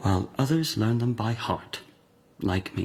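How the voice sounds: This man uses a put-on character voice at a fairly slow pace, his pitch fairly low with a slightly husky edge. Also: lively intonation.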